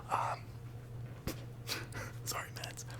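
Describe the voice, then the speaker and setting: A man is whispering over noticeable background noise. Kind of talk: ASMR ramble talk to camera.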